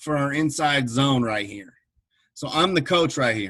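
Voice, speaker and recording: A man talks in an energetic tone. His pitch variation is ordinary. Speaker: football coach. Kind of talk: online coaching clinic presentation. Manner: fast.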